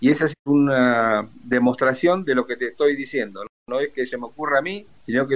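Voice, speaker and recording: Here a man with a plain, everyday voice talks at a moderate pace with ordinary pitch variation. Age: 60s. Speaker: retired naval officer and war veteran. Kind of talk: interview testimony.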